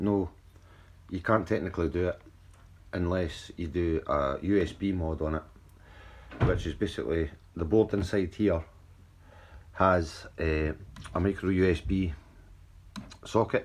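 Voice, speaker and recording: A man with a Scottish accent speaks in a very deep, low pitch. His intonation is fairly even, broken by long, frequent pauses. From Scotland. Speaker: drone hobbyist youtuber. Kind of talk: tutorial. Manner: casual, some stumbling and repeats.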